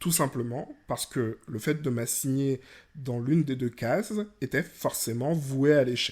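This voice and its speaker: A somewhat breathy man at medium pitch and a fairly slow pace, with ordinary pitch variation, in a very clean recording with a silent background. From Guadeloupe, rural. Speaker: podcast host. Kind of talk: educational podcast monologue.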